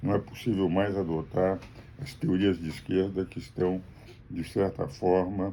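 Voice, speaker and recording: Speaking at a fairly slow pace, a man uses a very deep, low voice with a dark, mellow tone and ordinary pitch variation. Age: 80s+. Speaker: jurist and political commentator. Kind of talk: political commentary monologue. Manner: formal.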